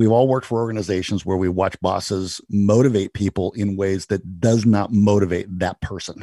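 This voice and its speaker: A dark, mellow tone moves at a moderate pace with fairly even intonation and hardly any pauses, in a dry, close sound with no echo against a quiet background. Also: man, fairly low pitch for a man. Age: 50s. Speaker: church tech podcast host. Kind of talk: casual chat.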